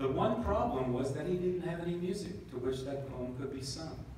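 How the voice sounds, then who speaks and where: Strong room echo and light background noise frame a man talking at a fairly quick pace with ordinary pitch variation. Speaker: band member narrator. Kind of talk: reading a story aloud at a concert. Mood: calm storytelling. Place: hall.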